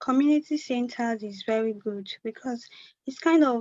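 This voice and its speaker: The speaker is soft-spoken, with fairly even intonation. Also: woman. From Nigeria. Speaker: community volunteer. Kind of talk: conference talk, personal testimony. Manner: quiet, soft-spoken; halting, many restarts.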